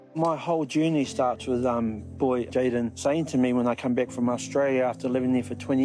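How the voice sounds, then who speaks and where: Over music in the background, a man with a New Zealand accent talks at a moderate pace with ordinary pitch variation. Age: 60s. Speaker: Māori elder and language graduate. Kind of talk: interview testimony. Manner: halting.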